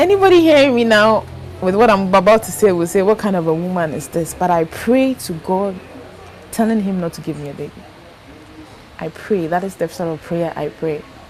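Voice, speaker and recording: A woman speaks at a medium pitch with lively intonation and big swings in loudness. Noticeable background noise is present. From Ghana. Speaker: patient advocate. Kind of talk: testimony.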